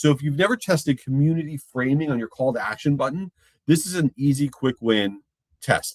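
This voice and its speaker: A man talks at a fairly quick pace at a fairly high pitch with ordinary pitch variation. He has an unremarkable speaking voice, recorded in a dry, close sound with no echo. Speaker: marketing presenter.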